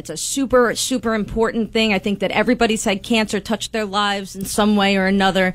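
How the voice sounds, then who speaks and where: A very fast delivery in a Long Island accent, with hardly any pauses. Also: woman, medium pitch for a woman. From Long Island, New York. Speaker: taxi company owner. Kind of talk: radio interview. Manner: animated.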